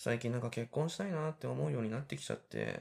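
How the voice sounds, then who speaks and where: On a very clean recording with a silent background, a man speaks at a fairly quick pace in a medium pitch, sounding somewhat breathy. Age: 30s. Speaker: podcast host, cooking school student. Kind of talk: casual solo talk while cooking. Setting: home kitchen.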